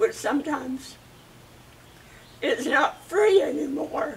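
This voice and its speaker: A woman speaks at a very slow pace. Her high voice moves through very wide pitch swings. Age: 80s+. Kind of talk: interview answer.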